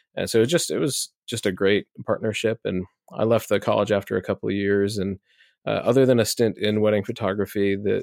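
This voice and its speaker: Fairly quick and fairly low-pitched, a man with an American accent speaks with fairly even intonation on a very clean recording with a silent background and a dry, close sound with no echo. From Nebraska, US Midwest. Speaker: brand strategist, former pastor. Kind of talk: casual interview.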